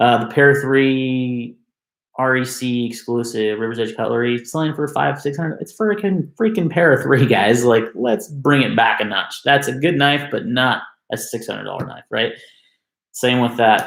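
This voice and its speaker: On a very clean recording with a silent background, a man speaks at medium pitch with ordinary pitch variation and a moderate pace. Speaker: knife enthusiast youtuber. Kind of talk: live stream rant. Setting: live stream on webcam. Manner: loud.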